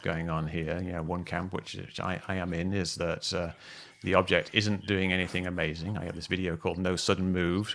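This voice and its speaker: In a British accent, a man delivers a monotone, flat line at a very fast pace with a very deep, low pitch. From Britain. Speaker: UFO video analyst, livestream host. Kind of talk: casual discussion livestream. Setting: video call livestream.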